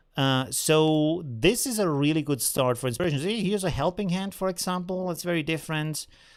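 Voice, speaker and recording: A man with an unremarkable speaking voice, fairly high in pitch, with ordinary pitch variation. The recording is very clean, with a silent background. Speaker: photo editing tutorial creator. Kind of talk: live stream tutorial. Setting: live stream.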